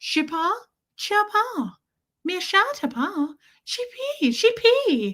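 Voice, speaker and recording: In a put-on character voice with a French accent, the speaker talks at a very slow pace and an extremely high pitch, with very wide pitch swings and long, frequent pauses. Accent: almost French-sounding. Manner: playful, nonsense words.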